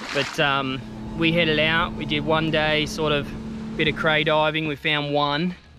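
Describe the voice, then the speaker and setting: Over music in the background, a man's voice has a dry sound with no echo. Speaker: fishing vlogger. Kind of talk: casual vlog chat. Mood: relaxed, upbeat. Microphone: phone near.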